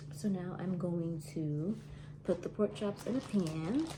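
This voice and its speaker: Woman whispering, soft-spoken. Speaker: home cook vlogger. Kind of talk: cooking vlog tutorial. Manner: soft-spoken, near whisper; casual.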